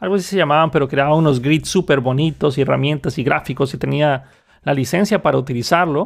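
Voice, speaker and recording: A man at a moderate pace, fairly high-pitched, with ordinary pitch variation and a plain, everyday voice. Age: 30s. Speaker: podcast host, software developer. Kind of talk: solo monologue.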